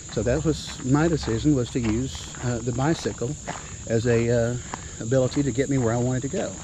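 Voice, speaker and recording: At a fairly quick pace, a man talks at a medium pitch with fairly even intonation over noticeable background noise. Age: 60s. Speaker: retired police officer. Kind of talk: interview. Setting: outdoors.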